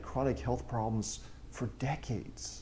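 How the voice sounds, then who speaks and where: There is light background noise behind a man speaking at a moderate pace. His voice has vocal fry and a dark, mellow tone. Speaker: museum guide. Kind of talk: museum tour talk. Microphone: lapel.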